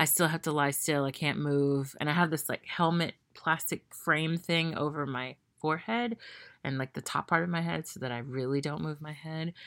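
Speaking at a moderate pace with an American accent, a woman uses a very deep, low pitch and ordinary pitch variation in a very clean recording with a silent background. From Memphis, Tennessee, US South. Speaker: podcast host. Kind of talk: solo monologue. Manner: casual with fillers.

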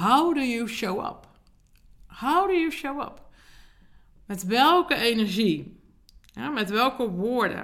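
Speaking very slowly with long, frequent pauses, a woman with a fairly high pitch moves through very wide pitch swings. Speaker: podcast host and leadership coach. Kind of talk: solo podcast monologue. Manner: hesitant with fillers.

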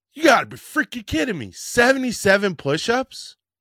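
A man's raised, projected voice has a bright, sharp tone and an animated tone, with very wide pitch swings. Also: very clean recording, silent background. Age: 50s. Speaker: fitness podcast host. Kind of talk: casual solo podcast talk. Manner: halting.

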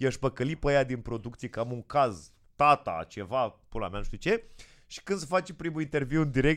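This is a plain, everyday voice from a man at a medium pitch. He talks at a fairly quick pace. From Moldova region, Romania. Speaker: comedian. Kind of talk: casual chat.

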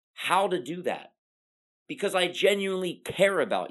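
Against a quiet background, a woman speaks fairly slowly in a fairly low voice with vocal fry and an energetic tone. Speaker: pharmacist and motivational podcast host. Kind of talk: motivational monologue.

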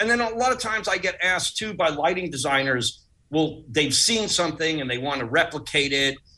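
A man with an American accent uses a normal speaking voice, fairly high in pitch, with lively intonation. He talks at a fairly quick pace with hardly any pauses. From Long Island, New York (Uniondale, Nassau County). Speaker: pyrotechnics designer. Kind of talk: interview storytelling.

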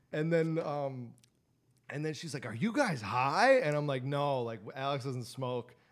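Fairly slow, fairly high speech from a man, ordinary pitch variation, with audible room echo. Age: 20s. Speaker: podcast co-host. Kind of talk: casual chat.

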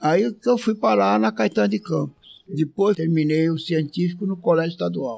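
At a moderate pace, a man talks at a fairly high pitch with very wide pitch swings. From interior of São Paulo state, Brazil. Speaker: retired agronomist. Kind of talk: casual interview. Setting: outdoors on a hotel veranda.

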